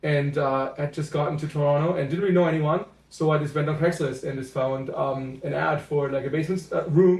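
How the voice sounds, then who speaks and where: Speaking with a German accent, a man talks at a fairly quick pace. His pitch is fairly high and his intonation fairly even. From Germany, near Cologne. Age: 30s. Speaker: podcast guest. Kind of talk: casual chat. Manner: halting, many fillers.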